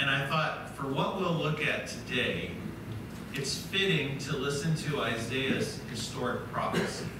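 A man at a very slow pace, with audible room echo and noticeable background noise. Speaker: preacher. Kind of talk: sermon. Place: church.

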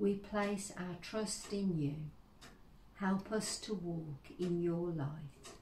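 A woman speaks in a solemn tone at a very slow pace with ordinary pitch variation. Audible room echo and light background noise surround her. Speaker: service leader. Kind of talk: church service, liturgy and prayers; fervent intercessory prayer. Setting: church service, online. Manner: earnest, solemn, slow and heartfelt; warm, welcoming. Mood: calm, solemn. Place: home room. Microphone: phone near.

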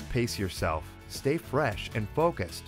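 A man's voice swings very widely in pitch while faint music plays in the background. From Wisconsin, USA. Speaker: voice actor. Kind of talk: corporate explainer narration. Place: studio. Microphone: studio mic.

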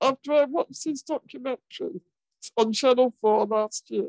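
A woman with a British accent speaks at a high pitch with lively intonation. The background is quiet and the sound is dry with no echo. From England. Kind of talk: formal panel moderation. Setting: video call. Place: home room. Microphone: video call.

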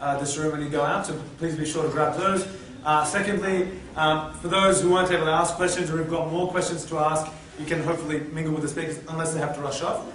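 Very fast and monotone, a man speaks with flat intonation at a fairly high pitch, with audible room echo and light background noise. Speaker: event MC. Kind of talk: event hosting, Q&A moderation. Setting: PA system in hall with audience. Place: hall. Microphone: podium.

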